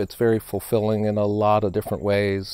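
Dry with no echo, a man's fairly low voice moves at a fairly quick pace. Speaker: candidate. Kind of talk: interview answer. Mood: earnest, reflective. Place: garden. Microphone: lapel.

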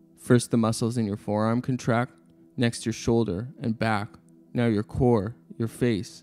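A man speaks at a medium pitch and a moderate pace, with ordinary pitch variation. Music plays in the background. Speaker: philosophy video narrator. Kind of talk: educational narration.

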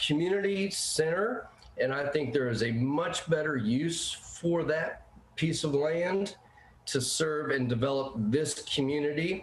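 A man with a somewhat breathy, fairly high voice speaks at a fairly slow pace and very even loudness, with audible room echo. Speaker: public commenter at a planning hearing. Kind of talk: public comment at remote meeting. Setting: remote meeting call.

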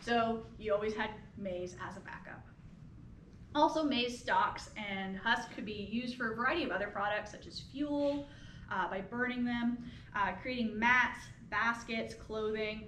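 A woman's fairly high, fairly slow voice with ordinary pitch variation and big swings in loudness, plus audible room echo and light background noise. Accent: American. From US Midwest, rural Illinois. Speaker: anthropology professor. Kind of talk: public lecture. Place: hall. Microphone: camera far.

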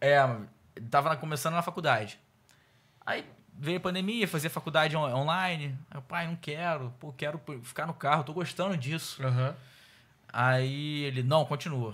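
The speaker moves at a moderate pace with ordinary pitch variation. Long pauses come often. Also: man, fairly high pitch for a man. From Rio de Janeiro. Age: 20s. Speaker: car salesman. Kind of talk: casual interview. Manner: animated. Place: studio. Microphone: studio mic.

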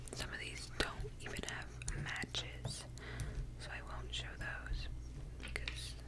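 Loud background noise sits under a woman's speech, which has long, frequent pauses. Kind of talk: casual vlog chat, soft ASMR-like. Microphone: studio mic.

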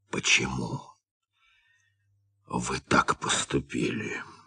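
Putting on a character voice, a man speaks raspy and very deep and low at a very slow pace. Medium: audio drama. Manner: measured, calm.

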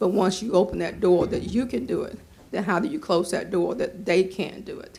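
With vocal fry and a dark, mellow tone, a woman speaks at a medium pitch and moderate pace, her loudness swinging widely. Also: lively intonation. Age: 70s. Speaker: resident speaking at public comment. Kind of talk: public comment at planning board meeting.

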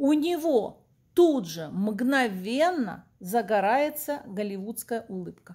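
Very slowly, a woman speaks at a high pitch with very wide pitch swings. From Kyiv, Ukraine (Soviet era). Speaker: vlogger and accordion teacher. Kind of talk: personal vlog monologue.

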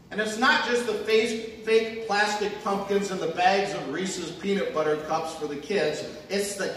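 The man's voice is high-pitched, with ordinary pitch variation and a fairly slow pace. Audible room echo and light background noise are present. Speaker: pastor. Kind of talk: sermon. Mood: humorous storytelling. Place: church.

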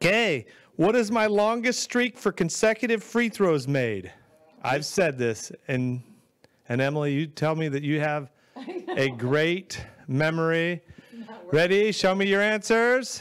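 A man speaks at a fairly slow pace, his pitch swinging very widely. The background is quiet. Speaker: quiz host. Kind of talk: game show hosting. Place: studio. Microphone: handheld.

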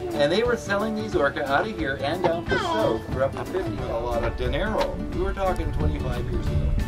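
Fairly quick speech with hardly any pauses over loud background music. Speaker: tour guide. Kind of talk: guided tour commentary. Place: boat. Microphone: camera far.

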